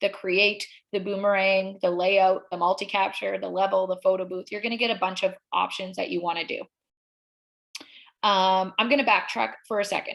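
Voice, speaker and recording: Speaking in a normal speaking voice, a woman keeps a medium pitch, a moderate pace and fairly even intonation. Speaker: social media workshop presenter. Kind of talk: tutorial.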